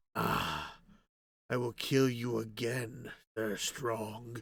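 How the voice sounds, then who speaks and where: A man's gravelly put-on character voice, medium in pitch, flat and monotone, at a very slow pace. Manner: menacing, angry.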